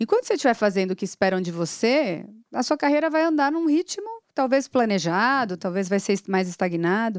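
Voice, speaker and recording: Pitch swings very widely as a woman speaks at a fairly quick pace. The sound is dry and close with no echo, on a very clean recording with a silent background. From São Paulo city, Brazil. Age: 40s. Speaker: agribusiness executive. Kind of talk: casual interview.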